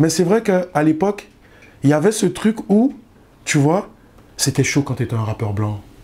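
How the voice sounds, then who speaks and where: A man speaks in a Parisian accent with a dark, mellow tone and a fairly high pitch for a man. His pace is fairly slow, with very wide pitch swings and long, frequent pauses. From Guadeloupe, raised partly in Paris. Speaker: rapper. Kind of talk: interview. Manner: casual, slangy.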